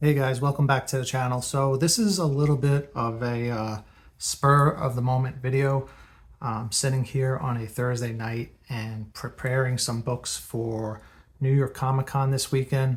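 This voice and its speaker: A man whispering, soft-spoken and somewhat breathy, on a very clean recording with a silent background. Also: moderate pace. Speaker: comic book collector, video creator. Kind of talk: tutorial. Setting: at home, late at night. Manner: soft-spoken, partly whispering.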